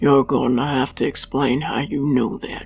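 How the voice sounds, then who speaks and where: With music in the background, a man puts on a raspy, growling character voice at medium pitch, speaking at a moderate pace with fairly even intonation. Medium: read story. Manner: terse, curt, suspicious.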